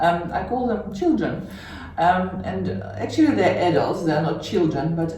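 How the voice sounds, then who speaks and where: A woman's fairly low voice comes through with noticeable background noise and audible echo from the room. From Russia (Siberia). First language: Russian. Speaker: interviewee. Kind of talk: interview. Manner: hesitant, many fillers.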